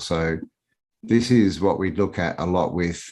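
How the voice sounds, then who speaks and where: An Australian accent carries a lively, bouncing intonation. The background stays quiet. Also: man. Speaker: alternative history researcher. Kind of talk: casual interview.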